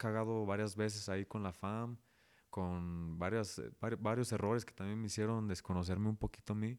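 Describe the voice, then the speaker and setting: This man's voice sits fairly low in pitch, with ordinary pitch variation. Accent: Guadalajara. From Guadalajara area, Mexico (Zapopan). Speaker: rapper and dentist. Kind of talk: casual interview.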